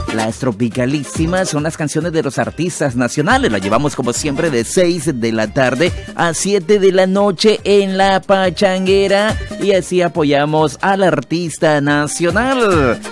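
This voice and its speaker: Clear music plays behind a man whose voice takes very wide pitch swings, with hardly any pauses and a dry sound with no echo. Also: fairly high pitch for a man, fairly slow pace. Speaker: radio announcer. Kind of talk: live radio DJ talk with sponsor read. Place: studio. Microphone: studio mic.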